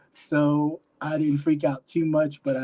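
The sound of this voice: A man speaks slowly, his medium-pitched voice carrying a dark, mellow tone.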